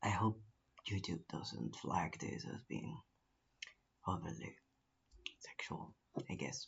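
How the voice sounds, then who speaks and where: A whispering man at a very slow pace, with long, frequent pauses. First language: Spanish. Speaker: YouTuber. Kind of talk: casual vlog chat. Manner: halting; whispering a little.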